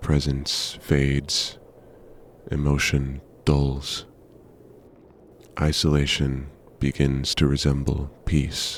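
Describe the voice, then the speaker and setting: Very deep and low, a man's voice moves at a very slow pace with long, frequent pauses. His intonation is monotone and flat. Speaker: poet and narrator. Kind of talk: poetry reading. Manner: slow, atmospheric.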